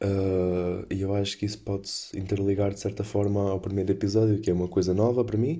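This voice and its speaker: A man talks at a fairly quick pace in a European Portuguese accent. His fairly low voice is dark and mellow, with fairly even intonation. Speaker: podcaster. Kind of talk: casual chat.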